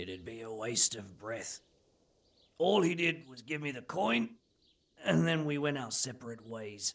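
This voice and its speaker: A man's raspy put-on character voice at medium pitch, with lively intonation, a moderate pace and long, frequent pauses. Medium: video game. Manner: blunt, coarse, cynical.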